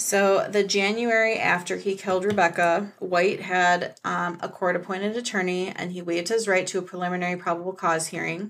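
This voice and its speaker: Talking fairly quickly with hardly any pauses, a woman speaks in an American accent. Her medium-pitched voice has monotone, flat intonation. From Michigan, US. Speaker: author and horror film critic. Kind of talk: casual chat.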